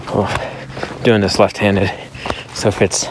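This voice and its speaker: Over noticeable background noise, a soft-spoken man talks at a very slow pace. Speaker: hiking vlogger. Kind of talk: casual vlog monologue. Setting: outdoors on a mountain trail. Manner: quiet, low voice.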